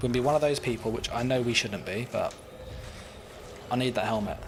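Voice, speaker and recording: This is a man speaking with a British accent. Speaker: gaming streamer. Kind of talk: live gameplay stream chat. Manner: casual, many fillers.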